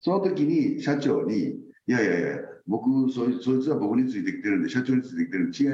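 Audible room echo surrounds a man speaking with a Kansai accent. He talks at a fairly quick pace. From Osaka, Japan. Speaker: company president. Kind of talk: interview.

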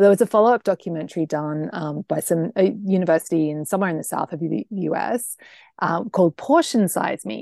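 A woman's fairly low, dark, mellow voice in an Australian accent with ordinary pitch variation, the sound dry and close with no echo against a quiet background. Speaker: food blogger and health coach. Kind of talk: interview.

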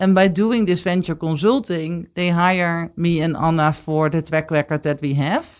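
Speaking in a Dutch accent at a moderate pace with hardly any pauses, a woman with a fairly low pitch and ordinary pitch variation is heard on a very clean recording with a silent background. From Netherlands. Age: 40s. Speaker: business executive. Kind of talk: interview.

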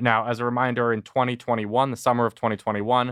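A man's voice at medium pitch. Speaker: podcast host. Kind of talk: news recap discussion.

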